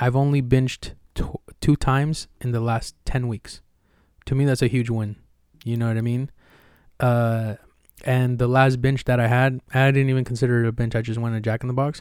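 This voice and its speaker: Medium-pitched male speech, monotone and flat, at a moderate pace with long, frequent pauses, on a very clean recording with a silent background. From Mexico. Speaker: podcast host. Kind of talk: casual chat.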